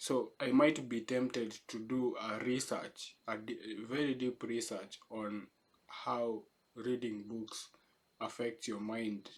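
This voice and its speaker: A man with a Kenyan accent speaks at a very slow pace, his medium-pitched voice keeping a fairly even intonation. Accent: Kenyan accent, noticeable. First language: not English; English is third language. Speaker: vlogger / essay writer. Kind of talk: casual unscripted reflection. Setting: home in the city. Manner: halting, many false starts.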